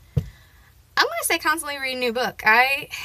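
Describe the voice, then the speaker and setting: A woman's raised, projected voice, high in pitch, at a fairly quick pace. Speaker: booktuber. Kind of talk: casual chat. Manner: loud; hesitant, many fillers.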